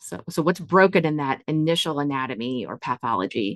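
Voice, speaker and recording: With an American accent, the speaker swings very widely in pitch on a dry, close recording with no echo. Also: woman. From US Midwest, Northeast Ohio. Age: 40s. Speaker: nursing professor. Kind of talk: interview.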